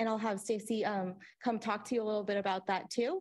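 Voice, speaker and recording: A woman talks at a fairly quick pace with fairly high pitch. Her intonation is fairly even, against a quiet background. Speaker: regional planning agency staff. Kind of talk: presentation at public meeting. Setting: in-person meeting room. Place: meeting room. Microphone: podium.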